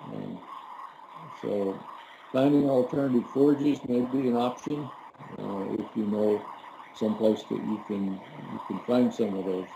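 A man at a fairly slow pace with long, frequent pauses, amid noticeable background noise. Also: ordinary pitch variation. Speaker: extension rangeland specialist. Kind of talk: educational conversation. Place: office. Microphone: webcam.

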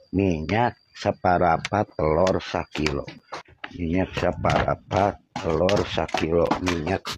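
A man's very slow speech, with a dry sound with no echo and noticeable background noise. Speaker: comedy sketch actor. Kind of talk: scripted comedy dialogue. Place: open country.

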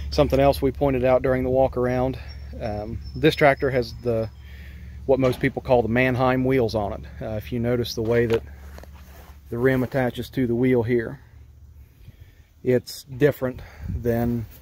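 With long, frequent pauses, a man speaks at a moderate pace and fairly even intonation, the sound dry with no echo over light background noise. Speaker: tractor owner. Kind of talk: casual walkaround explanation. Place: open country. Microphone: phone near.

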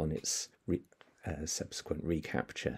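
Quiet background behind a man speaking. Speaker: presenter. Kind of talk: lecture. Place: home room. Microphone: webcam.

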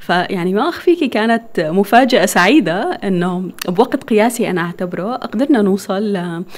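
Speaking at a fairly slow pace, a woman talks with a medium pitch. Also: lively intonation. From northern Syria (Deir ez-Zor and Raqqa); northern Syria. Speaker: architect and clothing business owner; guest. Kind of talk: interview. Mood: warm, smiling. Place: studio. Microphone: studio mic.

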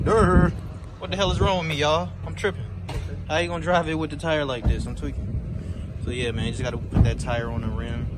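A man talks at a very fast pace. Loud background noise runs under his voice. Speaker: car flipper vlogger. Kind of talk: casual vlog chat. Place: street. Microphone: phone near.

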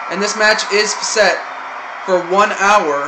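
Loud background noise sits behind a man's voice. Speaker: amateur game commentator. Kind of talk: commentary. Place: home room. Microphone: phone near.

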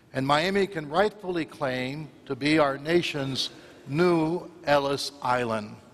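A man with an American accent speaks at a very slow pace. His pitch is fairly high, with ordinary variation. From US South, Florida. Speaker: archbishop. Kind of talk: homily.

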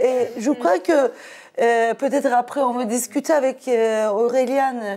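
A woman with a high pitch and a dark, mellow tone speaks at a very slow pace. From Turkey. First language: Turkish (speaking French). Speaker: sociologist and activist; guest. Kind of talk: debate. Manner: halting. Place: studio. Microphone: lapel.

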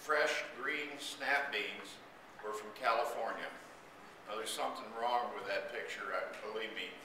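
A man talks fairly slowly, leaving long, frequent pauses, with noticeable background noise and audible room echo in the recording. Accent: American. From central New York. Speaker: state legislator. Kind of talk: rally speech. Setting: outdoor rally. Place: hall. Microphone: camera far.

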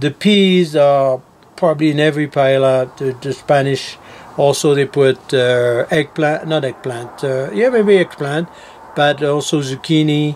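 Light background noise sits behind a man's voice. He talks at a fairly slow pace with ordinary pitch variation. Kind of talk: cooking demonstration.

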